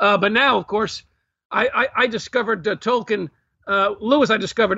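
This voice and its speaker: A man with a New York accent at a fairly quick pace. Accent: New York American. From Brooklyn, New York. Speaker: author and historian. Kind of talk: interview.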